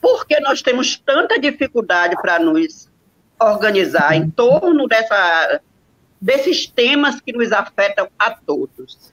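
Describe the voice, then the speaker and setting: A woman's high-pitched voice at a very slow pace, with very wide pitch swings and a dry, close sound with no echo. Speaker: retired civil servant and union leader, moderator. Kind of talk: online panel moderation.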